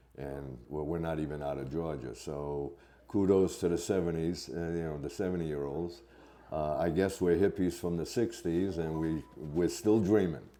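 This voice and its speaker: Speech in an American accent comes at a moderate pace with ordinary pitch variation. Audible room echo surrounds the voice. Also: man, very deep, low pitch for a man. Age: 70s. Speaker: thru-hiker. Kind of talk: casual interview.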